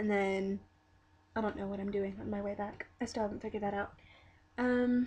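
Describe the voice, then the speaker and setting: A woman's medium-pitched, monotone voice at a fairly quick pace, broken by long, frequent pauses. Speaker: vlogger. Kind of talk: video diary. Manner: halting.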